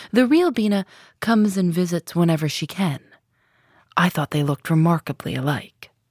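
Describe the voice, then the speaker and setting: Somewhat breathy and fairly low-pitched, a woman speaks at a moderate pace with long, frequent pauses, her voice dry and close with no echo in a very clean recording with a silent background. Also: ordinary pitch variation. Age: 30s. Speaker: podcast host. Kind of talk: narrated interview podcast. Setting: radio studio.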